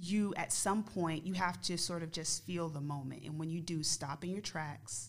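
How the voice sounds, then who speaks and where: Speaking with an American accent, a woman has a very deep, low pitch. Her pace is moderate and her pitch variation ordinary. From New Jersey, Essex County. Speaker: guest, travel business founder. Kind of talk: casual chat.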